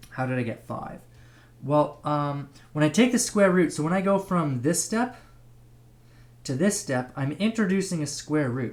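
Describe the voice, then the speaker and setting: The speech moves at a moderate pace but is broken by long, frequent pauses. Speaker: math teacher. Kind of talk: online math lesson.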